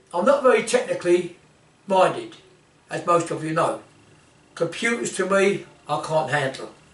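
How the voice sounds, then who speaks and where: Against noticeable background noise, a man with a high pitch and lively intonation talks at a moderate pace, with long, frequent pauses. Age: 80s+. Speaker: martial arts instructor. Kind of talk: informal talk to camera. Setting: indoor office. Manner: halting.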